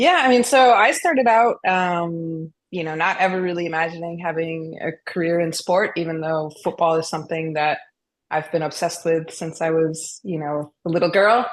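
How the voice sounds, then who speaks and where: A woman with an American accent and a plain, everyday voice speaks at a moderate pace and fairly low pitch, with ordinary pitch variation, over a quiet background. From US, Boston. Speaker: football analytics expert. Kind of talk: podcast interview.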